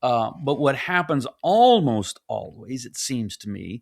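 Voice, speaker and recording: In a very clean recording with a silent background, a man with a normal speaking voice talks at a fairly slow pace and a fairly high pitch. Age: 60s. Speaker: pastor and author. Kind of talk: casual chat. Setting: podcast interview.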